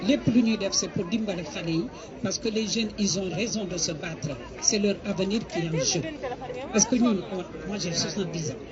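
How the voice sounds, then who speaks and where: A woman speaks at a medium pitch and a moderate pace, with ordinary pitch variation. Crowd noise and audible room echo fill the background. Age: 70s. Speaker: activist speaker at rally. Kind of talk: rally speech.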